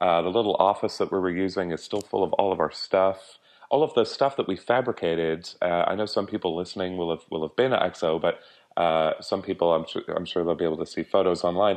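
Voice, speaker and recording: Here is a man with an Irish accent and a very deep, low voice. He speaks at a very fast pace with ordinary pitch variation. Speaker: conference organizer and publisher. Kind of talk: interview.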